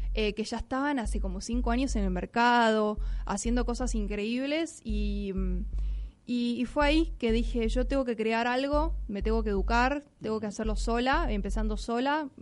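With a Rioplatense accent, a woman speaks at a moderate pace in a fairly high pitch and a fairly even intonation. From Buenos Aires, Argentina. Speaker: blockchain educator. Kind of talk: radio interview.

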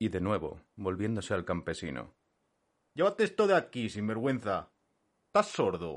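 A man talks at a moderate pace with long, frequent pauses. The background is quiet.

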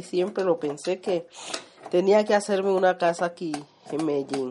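Someone speaks at a fairly slow pace against noticeable background noise. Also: woman. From Colombia, Chocó (Condoto). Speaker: community leader and home cook. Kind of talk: casual interview while cooking.

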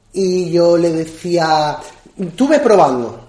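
The man's voice is pitched high. Room echo is audible around it. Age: 30s. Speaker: magician. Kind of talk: interview. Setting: at his home.

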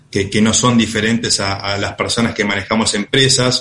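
A man's bright, sharp tone at a moderate pace. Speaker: company CEO. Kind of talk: radio interview. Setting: remote call into radio studio.

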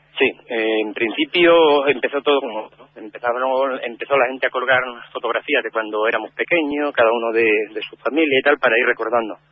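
This man has a plain, everyday voice at medium pitch, talking at a fairly quick pace with fairly even intonation and big swings in loudness. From Cáceres, Extremadura, Spain. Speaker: neighbourhood community organiser. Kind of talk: radio interview.

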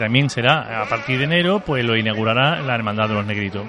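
A man speaks with normal rises and falls in pitch, and clear background noise can be heard behind him. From Seville, Andalusia. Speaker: local radio host. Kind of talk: radio interview. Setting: live broadcast from a tavern. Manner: hesitant, many fillers.

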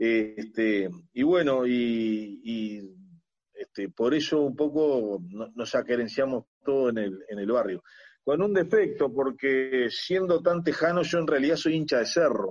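A man with a medium pitch and lively intonation talks at a fairly slow pace. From Uruguay, Montevideo (La Teja). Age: 50s. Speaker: agronomist and former senator. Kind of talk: interview. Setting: video call.

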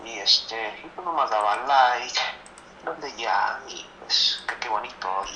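A man at a medium pitch speaks at a very slow pace with ordinary pitch variation and big swings in loudness. Audible room echo and noticeable background noise surround him. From Guanajuato, central Mexico. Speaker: amateur poet, industrial mechanic. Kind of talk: interview; poetry reading.

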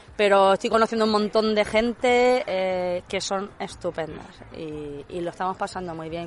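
An unremarkable speaking voice from a woman, medium in pitch, with ordinary pitch variation and a moderate pace. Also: big swings in loudness. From Granada, Spain. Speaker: golf club ambassador. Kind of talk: casual interview.

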